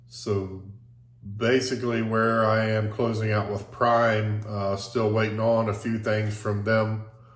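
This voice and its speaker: Noticeable background noise surrounds a man speaking fairly slowly in a fairly low, monotone, flat voice. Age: 50s. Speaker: diesel mechanic, former truck driver and police officer. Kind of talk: casual talk to camera.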